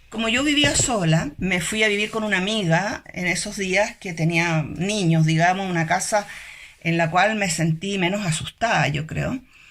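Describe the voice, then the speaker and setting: Here a woman talks at a medium pitch. Noticeable background noise runs beneath her voice. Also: ordinary pitch variation, fairly slow pace. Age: 70s. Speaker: retired engineer, human rights worker. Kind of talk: testimony.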